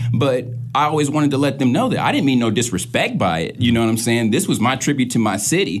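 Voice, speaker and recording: A man with an American accent and a medium pitch talks at a very fast pace, with ordinary pitch variation and very even loudness. Music plays in the background, and there is audible room echo. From St. Louis, Missouri; later Wichita, Kansas. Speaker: DJ, rapper and producer. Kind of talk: casual interview.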